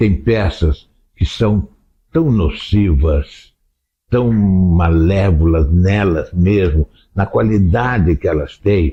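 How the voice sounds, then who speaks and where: This man has a very deep, low pitch and a dark, mellow tone, somewhat breathy, with lively intonation. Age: 80s+. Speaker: theatre director. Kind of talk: interview.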